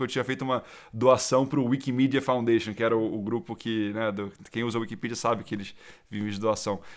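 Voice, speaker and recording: Over a very clean, silent background, a man talks at a fairly quick pace. His pitch is medium and his intonation fairly even. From Brazil, Rio and São Paulo. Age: 30s. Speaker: angel investor. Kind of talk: interview conversation. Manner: hesitant with frequent repetitions.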